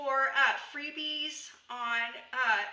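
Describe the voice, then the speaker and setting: Raising and projecting her voice, a woman speaks at a high pitch. Room echo and noticeable background noise accompany her. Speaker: homesteading and herbal medicine teacher. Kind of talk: live stream tutorial. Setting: live video stream. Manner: casual, filler-heavy.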